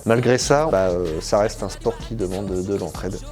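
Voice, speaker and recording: A man's voice over noticeable background noise. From northern France, Picardy (Somme, Abbeville). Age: 20s. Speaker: glider pilot and aircraft test technician. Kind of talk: interview monologue. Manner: hesitant, many fillers.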